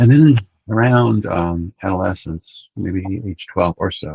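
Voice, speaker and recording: A man's voice comes through with a very deep, low pitch and is somewhat breathy. The sound is dry and close, with no echo. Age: 70s. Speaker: spiritual teacher. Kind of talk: interview. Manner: hesitant, many fillers.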